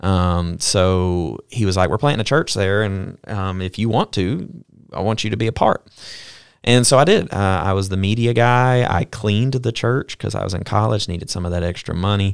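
A man with a Southern US accent, fairly low in pitch, at a moderate pace with ordinary pitch variation, on a very clean recording with a silent background. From US South (Mobile, Alabama). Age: 20s. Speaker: podcast host, missionary. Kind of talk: casual chat.

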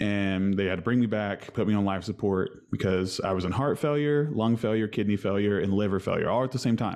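Speaking in a plain, everyday voice with an American accent, a man keeps a fairly low pitch, ordinary pitch variation, a fairly quick pace, hardly any pauses and very even loudness. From West Virginia. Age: 30s. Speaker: musician. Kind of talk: casual chat.

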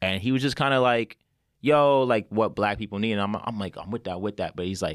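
In a New York accent, a man speaks at a medium pitch with ordinary pitch variation. The recording is very clean with a silent background and a dry, close sound with no echo. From New York, Westchester. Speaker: podcast host. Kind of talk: casual chat. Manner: animated.

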